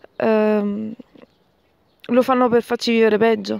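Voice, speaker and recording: Speaking at a fairly slow pace, a woman with a fairly high pitch keeps her intonation fairly even. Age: 20s. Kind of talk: recorded voice message. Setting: recorded audio message sent by email.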